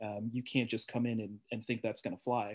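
A man talks at a fairly quick pace in a medium pitch, his intonation monotone and flat. The recording is very clean, with a silent background. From Portland, Oregon. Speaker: podcast guest. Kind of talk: casual chat.

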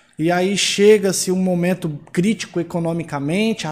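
A man's high-pitched voice with fairly even intonation on a very clean recording with a silent background. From São Paulo, Brazil. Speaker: financial consultant. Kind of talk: panel discussion.

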